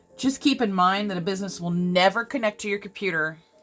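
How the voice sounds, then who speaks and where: Music is heard in the background. Over it, a woman talks with ordinary pitch variation. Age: 40s. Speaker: craft YouTuber. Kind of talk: casual chat while coloring. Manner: casual, conversational.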